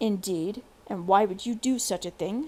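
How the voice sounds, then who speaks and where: Putting on a growling character voice, a woman speaks at a moderate pace with a medium pitch. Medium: read story. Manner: commanding, authoritative.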